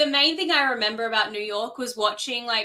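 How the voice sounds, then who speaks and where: Her tone bright and sharp, a woman speaks in an Australian accent. Her pitch is fairly high, with ordinary variation. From South Australia, Adelaide. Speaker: author. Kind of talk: casual chat.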